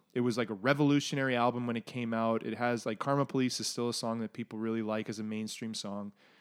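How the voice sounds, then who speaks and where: A man with a Canadian accent, medium pitch, monotone, flat intonation, a very fast pace with hardly any pauses, and a very clean recording over a silent background. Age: 30s. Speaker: podcast co-host. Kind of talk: casual chat.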